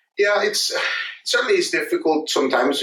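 A man speaks with a Spanish accent. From Mexico. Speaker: physicist. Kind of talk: testimony. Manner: halting.

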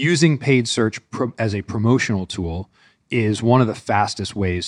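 A man with an American accent speaks at a fairly slow pace in an ordinary speaking voice with ordinary pitch variation. The recording is very clean with a silent background and a dry, close sound with no echo. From US Northeast. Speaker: e-commerce strategy executive. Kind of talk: podcast interview.

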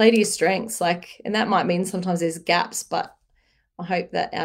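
A woman with an Australian accent speaks in a fairly low pitch with fairly even intonation. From Newcastle, Australia. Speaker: small business founder. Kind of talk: interview.

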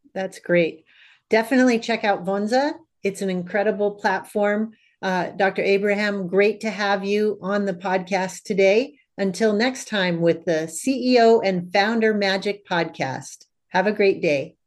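An ordinary speaking voice, fairly slow in pace, its pitch shifting in a typical way. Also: woman, medium pitch for a woman. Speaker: podcast host. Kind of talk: interview, scripted intro and outro.

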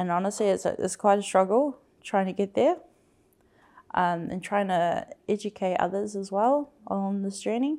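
A woman's dark, mellow voice sits at a medium pitch, with ordinary pitch variation and a moderate pace. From New Zealand, South Auckland. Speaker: architectural graduate and research assistant. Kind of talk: interview.

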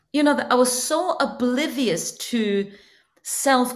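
A woman talks at a high pitch with lively intonation. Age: 50s. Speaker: life coach. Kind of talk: interview podcast. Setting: video call.

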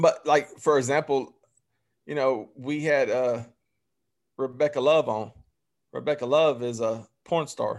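In a Southern US accent, a man talks in a fairly high voice at a fairly slow pace with long, frequent pauses and fairly even intonation, in a very clean recording with a silent background. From Alabama (Phenix City). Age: 30s. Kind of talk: casual chat.

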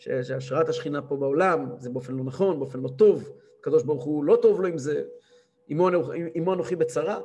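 Talking at a fairly quick speed, this man is heard with audible room echo. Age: 30s. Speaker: rabbi and Torah teacher. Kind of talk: religious lecture. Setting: live-streamed class.

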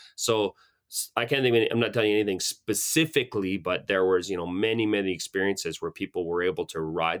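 In a Canadian accent, a man talks at a fairly quick pace with ordinary pitch variation, captured as a dry, close sound with no echo on a very clean recording with a silent background. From Calgary, Alberta, Canada. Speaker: ski, hiking and cycling guide. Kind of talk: interview conversation.

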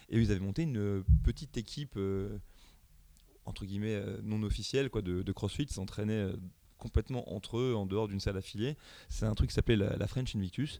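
A dark, mellow tone at a fairly quick pace. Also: man, fairly low pitch for a man, ordinary pitch variation. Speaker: CrossFit coach. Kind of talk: casual interview.

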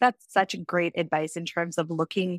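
A woman with an unremarkable speaking voice talks at a fairly low pitch in a very clean recording with a silent background. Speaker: podcast host. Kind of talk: casual interview chat.

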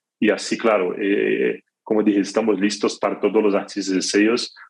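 With monotone, flat intonation, a man's fairly low voice proceeds at a moderate pace. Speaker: music distribution executive. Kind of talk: interview. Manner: halting, many fillers and repetitions.

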